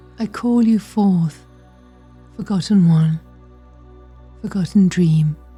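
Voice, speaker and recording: Music plays in the background while a woman with a medium pitch and ordinary pitch variation speaks at a very slow pace, with long, frequent pauses. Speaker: meditation guide, certified therapist. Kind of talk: guided meditation, ritual. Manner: hypnotic, soft-spoken, slow.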